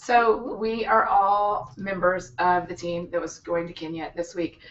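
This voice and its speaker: A woman with fairly low pitch, ordinary pitch variation and a fairly slow pace, over noticeable background noise. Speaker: author and hangout host. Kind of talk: casual group chat on live stream. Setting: live video hangout in an office.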